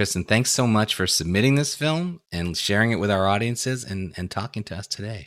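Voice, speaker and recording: A man with an American accent and a plain, everyday voice speaks at a moderate pace with ordinary pitch variation, over a very clean recording with a silent background. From Brooklyn, New York. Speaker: festival director and interviewer. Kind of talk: interview.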